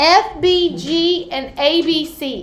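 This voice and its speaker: Audible room echo carries a woman's lively intonation. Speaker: math teacher. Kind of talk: classroom lesson. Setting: classroom with students, recorded on computer. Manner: loud. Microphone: computer mic, far from speaker.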